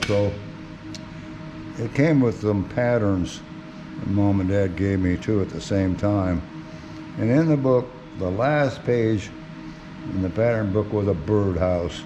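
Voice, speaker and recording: With music in the background, a man in a relaxed tone and fairly low pitch speaks with long, frequent pauses. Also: ordinary pitch variation. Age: 70s. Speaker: woodworking hobbyist. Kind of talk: casual workshop demonstration. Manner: relaxed, unhurried.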